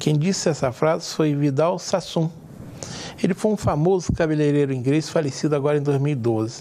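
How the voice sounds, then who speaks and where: Against noticeable background noise, a man talks at a fairly quick pace with very even loudness, a fairly high pitch and ordinary pitch variation. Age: 60s. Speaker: TV talk show host. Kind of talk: TV interview discussion.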